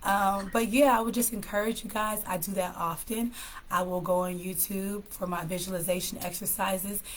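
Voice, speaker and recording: A woman speaks with an American accent in a somewhat breathy voice. Audible room echo surrounds her. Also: medium pitch for a woman, fairly even intonation, moderate pace. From California. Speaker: live stream host, mental health speaker. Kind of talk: casual live stream talk with tips. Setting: live stream.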